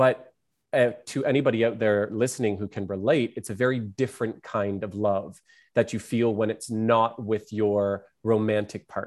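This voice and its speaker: This is a normal speaking voice with fairly even intonation at a moderate pace, on a very clean recording with a silent background. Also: man, fairly low pitch for a man. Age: 30s. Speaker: artist and entertainer. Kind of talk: casual chat.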